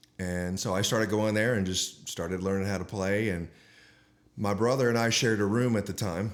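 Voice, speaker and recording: This is an unremarkable speaking voice with an American accent. It moves at a fairly quick pace with fairly even intonation. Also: man, fairly low pitch for a man. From Texas, Dallas. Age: 60s. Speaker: guitarist and guitar teacher. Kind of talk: podcast interview.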